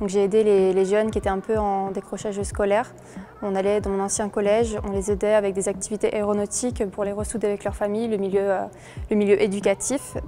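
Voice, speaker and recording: Music plays in the background as a woman talks at a fairly quick pace. Her voice sits at a medium pitch with a monotone, flat intonation. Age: 20s. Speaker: pilot student, award winner. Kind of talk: interview testimony.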